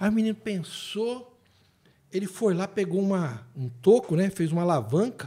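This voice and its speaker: This man's voice is high-pitched. Lively intonation runs through his speech. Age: 50s. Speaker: theologian and writer. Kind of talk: casual chat. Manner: animated.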